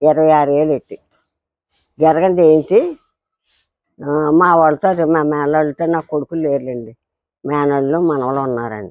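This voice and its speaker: A woman's very deep, low voice shows ordinary pitch variation. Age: 80s+. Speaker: elderly villager, political supporter. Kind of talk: interview. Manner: halting.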